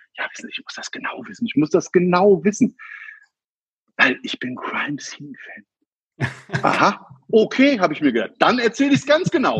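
The speaker has a slight Hessian accent. The sound is dry and close, with no echo. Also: man. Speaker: crime scene cleaner, business owner. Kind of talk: interview.

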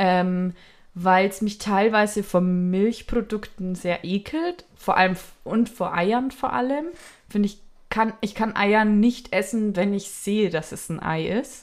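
On a very clean recording with a silent background, a woman speaks at medium pitch. Her pace is very slow, with ordinary pitch variation. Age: 20s. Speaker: podcast co-host. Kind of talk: casual chat.

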